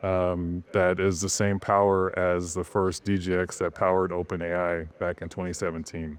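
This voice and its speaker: Against a quiet background, a man talks in a very deep, low voice with monotone, flat intonation. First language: French. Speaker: tech industry executive. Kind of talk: panel discussion Q&A. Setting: stage with audience.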